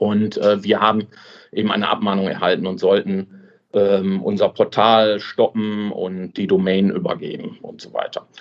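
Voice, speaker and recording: Speaking at a fairly slow pace, the man uses lively intonation. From Swabia, southern Germany. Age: 30s. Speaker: affiliate website owner. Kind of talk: interview. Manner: hesitant, many fillers.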